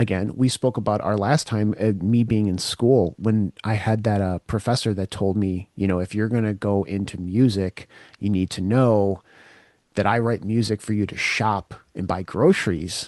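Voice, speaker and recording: A man with an unremarkable speaking voice talks at a moderate pace, his pitch fairly low and his intonation fairly even. The sound is dry and close with no echo, over a quiet background. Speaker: interviewer, podcast host. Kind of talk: casual interview talk.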